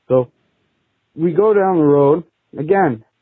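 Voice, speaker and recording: A man's fairly high voice with a Boston accent and very wide pitch swings. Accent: Boston-area New England. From Massachusetts. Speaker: podcast caller, mechanic. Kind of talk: recorded phone story.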